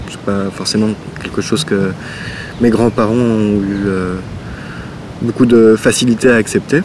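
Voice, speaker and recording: Amid noticeable background noise, a man with a fairly low pitch speaks at a fairly slow pace with long, frequent pauses. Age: 30s. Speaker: visual artist. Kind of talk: interview. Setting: outdoors in a park. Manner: halting.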